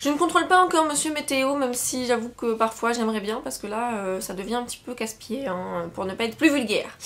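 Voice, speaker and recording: A woman speaks in a high voice with lively intonation. She moves at a fairly quick pace over noticeable background noise. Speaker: book vlogger. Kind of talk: casual talk to camera, book haul.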